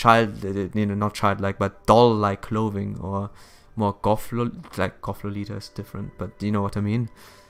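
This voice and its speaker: On a very clean recording with a silent background, a man speaks at a fairly low pitch. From Germany. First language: German. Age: 20s. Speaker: gaming streamer. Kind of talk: casual chat. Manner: halting.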